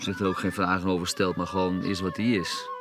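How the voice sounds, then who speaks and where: The man talks at a fairly quick pace. His pitch is fairly low, and music plays in the background. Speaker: musician. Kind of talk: documentary interview. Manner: halting, many repetitions.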